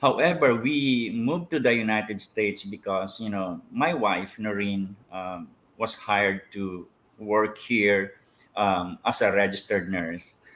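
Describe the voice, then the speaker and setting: On a very clean recording with a silent background, a man with a Filipino accent talks at a fairly slow pace and fairly low pitch, with ordinary pitch variation. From Philippines. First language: Filipino languages. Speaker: pastor. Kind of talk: interview. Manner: hesitant, many fillers.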